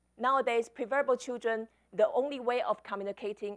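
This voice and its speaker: A woman speaks at a moderate pace with a fairly high pitch. The recording is very clean, with a silent background and a dry, close sound with no echo. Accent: Chinese. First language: Chinese. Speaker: author and speaker. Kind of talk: conference talk.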